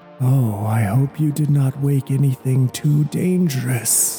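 Clear music plays in the background as a man in a put-on character voice speaks fairly slowly at a medium pitch.

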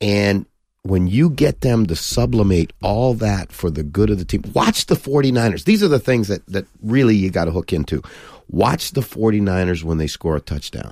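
This man has a plain, everyday voice with a fairly low pitch. He talks at a moderate pace. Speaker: football coach and TV pundit. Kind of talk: casual interview chat. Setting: studio.

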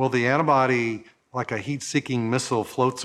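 A man with an unremarkable speaking voice, at a fairly quick pace with fairly even intonation. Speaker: infectious disease researcher. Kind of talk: interview.

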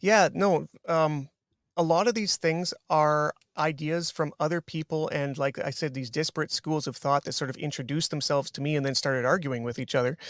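A man with a Canadian accent has a normal speaking voice, fairly high in pitch, with ordinary pitch variation at a fairly quick pace. The recording is very clean and dry, close with no echo, over a silent background. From Canada. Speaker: jiu-jitsu instructor and author. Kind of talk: interview.

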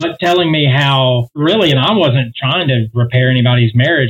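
A man speaks in a normal speaking voice, his pitch medium and its variation ordinary. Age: 40s. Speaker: singer. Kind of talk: casual chat.

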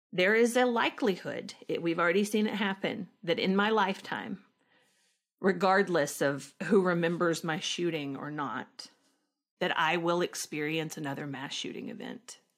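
A woman with a Southern US accent speaks with lively intonation. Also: medium pitch for a woman, moderate pace. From rural Arkansas, US South. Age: 30s. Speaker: actress, school shooting survivor. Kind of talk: interview testimony.

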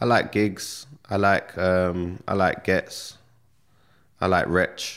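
The speech comes at a very slow pace in a very clean recording with a silent background. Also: man. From Northwest London, England. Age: 30s. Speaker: rapper. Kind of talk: casual interview chat.

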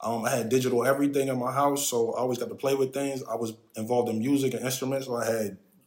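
At a very fast pace, a man talks in a medium pitch with fairly even intonation. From Philadelphia, Pennsylvania. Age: 40s. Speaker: tech advisor. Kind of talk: casual interview.

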